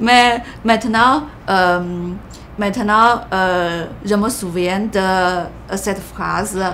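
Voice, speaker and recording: With a Chinese accent, a woman talks at a very slow pace with long, frequent pauses, and room echo can be heard. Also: medium pitch for a woman, ordinary pitch variation. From China. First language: Mandarin (speaking French). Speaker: immigrant sharing her story. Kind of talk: interview. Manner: halting, many hesitations.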